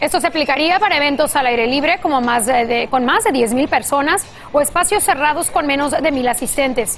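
A high-pitched woman at a fairly quick pace over noticeable background noise. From Los Angeles, US, Mexican-American. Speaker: news anchor. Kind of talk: news reading.

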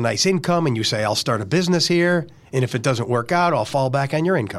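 Words come out very fast, with ordinary pitch variation. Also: man. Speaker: podcast host. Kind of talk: casual interview. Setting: studio. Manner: animated.

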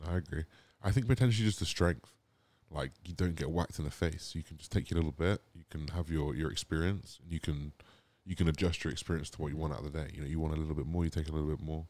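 A man with a southern English accent, very deep and low in pitch, at a very fast pace. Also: ordinary pitch variation. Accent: English (southern England). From England, Gloucestershire (Cotswolds). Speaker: bodybuilder. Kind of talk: casual chat. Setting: outdoor studio.

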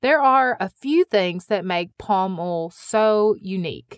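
Speaking in a Midwestern US accent at a fairly slow pace, a woman uses a medium pitch with very wide swings, the sound dry and close with no echo. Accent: Midwestern US accent, noticeable. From US Midwest. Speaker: podcast host. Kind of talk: scripted narration.

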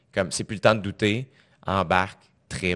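A man with a Quebec accent speaks at a moderate pace in a very deep, low pitch with ordinary pitch variation. The background is quiet. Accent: Québécois French. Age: 20s. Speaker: comedian and podcast host. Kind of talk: casual interview chat. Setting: studio.

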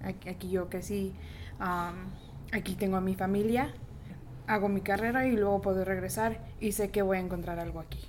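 With audible room echo around her, a woman talks at a moderate pace in fairly even intonation, taking long, frequent pauses. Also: medium pitch for a woman. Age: 20s. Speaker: bank IT worker. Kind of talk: group interview.

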